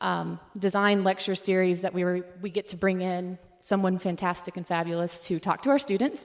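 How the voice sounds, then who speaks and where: At a moderate pace, a woman with a medium pitch talks with hardly any pauses and fairly even intonation. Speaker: interior design professor. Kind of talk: conference talk. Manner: loud; halting, many fillers.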